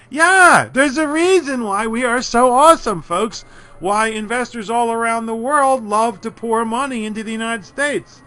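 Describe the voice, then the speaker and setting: A man with an American accent speaks in a raised, projected voice at an extremely high pitch, with a bright, sharp tone. He barely pauses at all. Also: ordinary pitch variation, moderate pace. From Philadelphia. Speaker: college instructor. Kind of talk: lecture. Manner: animated.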